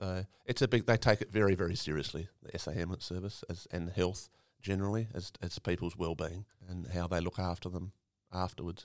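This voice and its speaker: A very deep, low-voiced man with an Australian accent, fairly even in intonation, at a fairly quick pace, on a very clean recording with a silent background. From South Australia, Eyre Peninsula. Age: 50s. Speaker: farmer and volunteer ambulance officer. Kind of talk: interview conversation. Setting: recorded on location in a country town.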